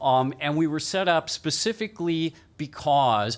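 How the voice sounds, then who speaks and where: A man speaks with an American accent. His pitch varies in an ordinary way. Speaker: keynote speaker, media lawyer. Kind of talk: keynote talk. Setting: stage with audience. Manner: loud; casual, interactive.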